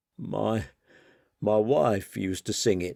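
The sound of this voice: Raspy and croaky, a man's put-on character voice comes out fairly low-pitched at a fairly slow pace.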